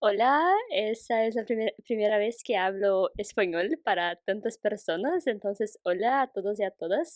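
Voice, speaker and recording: In a Portuguese accent, the speaker goes at a fairly slow pace with ordinary pitch variation and very even loudness. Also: woman, fairly high pitch for a woman, hardly any pauses. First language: Portuguese (speaking Spanish). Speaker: international student, guest. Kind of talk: casual conversation podcast. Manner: slow, careful.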